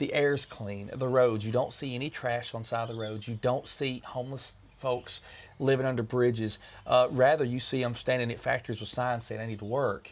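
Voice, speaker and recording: A man's medium-pitched voice with a Kentucky accent, fairly quick and flat in a monotone. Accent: American Southern (Kentucky). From Kentucky, US. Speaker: country music singer. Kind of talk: interview.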